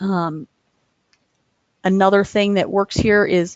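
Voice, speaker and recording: A woman speaks at a medium pitch. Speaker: software presenter. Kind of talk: webinar software demo. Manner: hesitant, many fillers.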